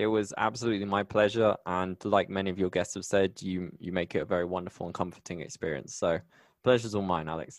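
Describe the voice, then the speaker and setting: A man with a West Country accent talks at a very fast pace in a very deep, low voice, his intonation fairly even against a quiet background. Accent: British English, West Country. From England, Bristol. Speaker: podcast host and technology writer. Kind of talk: casual interview.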